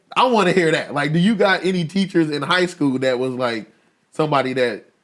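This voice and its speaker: The pace is neither fast nor slow. It is a normal speaking voice with lively intonation. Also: man. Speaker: podcast host. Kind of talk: casual interview talk.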